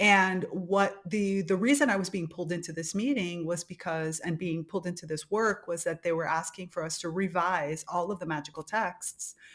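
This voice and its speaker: A woman with a Spanish accent, fairly low in pitch, at a moderate pace with ordinary pitch variation and hardly any pauses. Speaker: podcast host. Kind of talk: casual chat.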